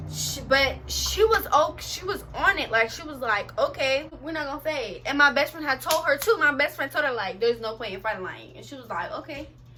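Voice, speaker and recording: Noticeable background noise surrounds a voice that is raised and projected. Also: woman. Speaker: vlogger. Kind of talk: storytelling vlog. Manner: fast; animated.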